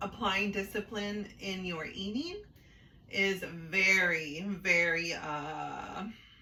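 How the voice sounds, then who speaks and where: Amid noticeable background noise and audible room echo, a woman of medium pitch talks at a very slow pace with fairly even intonation. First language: Spanish. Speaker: sister co-host of a vlog. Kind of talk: casual chat.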